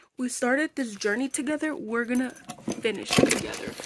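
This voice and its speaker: Through loud background noise, a woman speaks in a tired tone at a moderate pace. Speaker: vlogger. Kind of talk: casual vlog chat. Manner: tired, congested sick-day voice.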